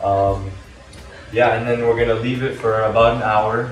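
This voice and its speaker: In a room with audible echo and faint background music, a man speaks fairly slowly in a fairly low pitch with fairly even intonation. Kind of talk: tutorial. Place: kitchen. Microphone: camera far.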